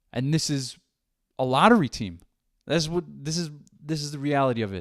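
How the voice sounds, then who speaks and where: On a very clean recording with a silent background, a fairly high-pitched man talks at a fairly quick pace with an animated tone. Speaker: sports podcaster. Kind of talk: solo sports commentary podcast. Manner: animated, frustrated; halting with restarts.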